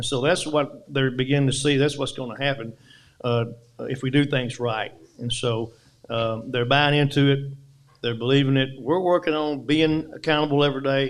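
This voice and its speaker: A man's fairly high voice with fairly even intonation and an Arkansas accent. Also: moderate pace. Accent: Southern US (Arkansas). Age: 60s. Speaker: high school football coach. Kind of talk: press conference.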